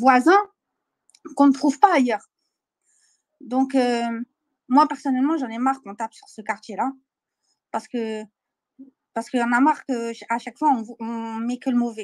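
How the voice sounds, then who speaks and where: At a moderate pace, a woman speaks in a high pitch with ordinary pitch variation, long, frequent pauses and big swings in loudness, in a dry, close sound with no echo. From Paris, 18th arrondissement. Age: young. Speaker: caller. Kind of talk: testimony.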